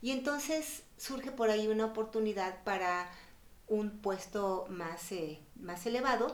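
A woman speaks with ordinary pitch variation in a room with audible echo. Noticeable background noise sits behind her. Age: 60s. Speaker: family court judge. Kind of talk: interview.

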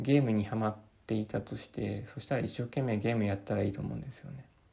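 His voice is somewhat breathy, with a dark, mellow tone, a fairly low pitch and ordinary pitch variation for this man. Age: 30s. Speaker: podcaster. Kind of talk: reading aloud. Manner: halting.

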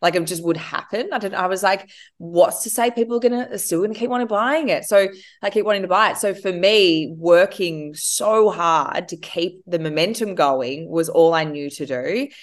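A woman with an Australian accent, medium in pitch, with lively intonation over a quiet background. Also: moderate pace. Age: 30s. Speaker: entrepreneur. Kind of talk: interview.

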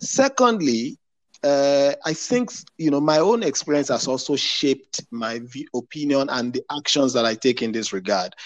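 In an ordinary speaking voice, a man talks at a moderate pace with a fairly high pitch and lively intonation, and the sound is dry and close with no echo. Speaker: professional and mentor. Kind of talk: panel discussion.

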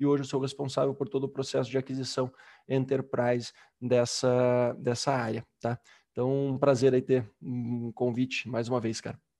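A man at a medium pitch speaks at a moderate pace in a dark, mellow tone with monotone, flat intonation. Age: 20s. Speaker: enterprise sales executive. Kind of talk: casual interview.

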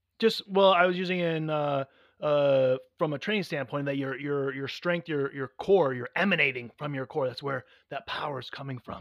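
With dry, close sound and no echo, a man with a normal speaking voice talks at a moderate pace, with a fairly high pitch and ordinary pitch variation. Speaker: podcast co-host. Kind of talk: casual banter. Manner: joking, bantering.

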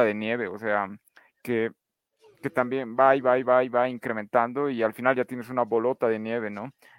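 Music plays in the background as a man with a medium pitch speaks at a moderate pace, in a dry, close sound with no echo. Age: 20s. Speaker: podcast panelist. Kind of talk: casual panel discussion.

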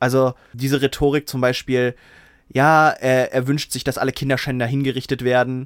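Monotone, flat speech at a moderate pace comes through dry and close with no echo, on a very clean recording with a silent background. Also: man, medium pitch for a man. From southern England. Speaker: podcast co-host. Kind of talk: casual chat.

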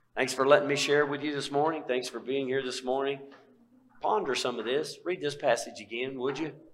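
A man with a fairly high voice talks at a fairly quick pace with fairly even intonation, and room echo is audible. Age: 60s. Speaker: pastor. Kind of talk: sermon.

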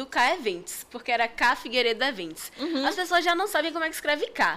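A woman talks at a very fast pace in a raised, projected voice. Her tone is animated, with very wide pitch swings. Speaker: costume character performer and event entrepreneur. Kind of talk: casual chat.

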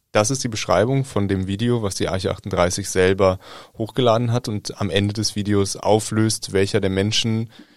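This man has a fairly low pitch and fairly even intonation. He talks at a moderate pace. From Germany. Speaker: journalist. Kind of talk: casual chat.

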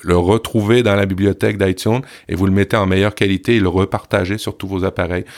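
In a very clean recording with a silent background, a man talks at a fairly quick pace. His fairly low voice has a monotone, flat intonation. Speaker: podcast creator. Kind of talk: casual podcast chat.

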